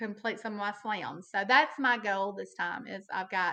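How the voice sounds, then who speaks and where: A woman with a Southern accent, a bright, sharp tone, and a moderate pace. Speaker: hunter. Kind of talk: casual chat. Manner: animated; halting.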